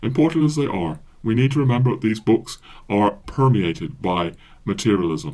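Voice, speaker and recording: Speaking at a moderate pace, a man with an American accent talks at a medium pitch. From USA, English parents. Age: 60s. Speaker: podcaster and author. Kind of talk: monologue podcast, book recommendation. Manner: many fillers and hesitations.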